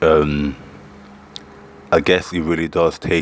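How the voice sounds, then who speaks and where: A man speaks with a very deep, low pitch at a moderate pace. Noticeable background noise runs underneath. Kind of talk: casual talk to camera.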